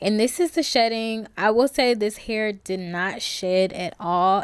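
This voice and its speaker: On a very clean recording with a silent background, a woman speaks at a medium pitch with ordinary pitch variation. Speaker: beauty vlogger. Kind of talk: voiceover tutorial. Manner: fast; casual.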